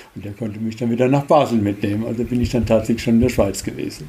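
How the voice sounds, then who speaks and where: A man speaks at a medium pitch with fairly even intonation. Noticeable background noise runs behind him. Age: 70s. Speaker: former travel scholarship participant. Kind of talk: interview.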